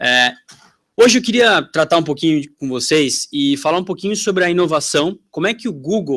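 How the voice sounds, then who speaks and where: This man has a strong São Paulo accent and a high-pitched voice. His intonation is lively, and he talks at a moderate pace. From Brazil, São Paulo. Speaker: tech company sales representative. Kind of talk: conference talk. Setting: stage with audience. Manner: casual, conversational.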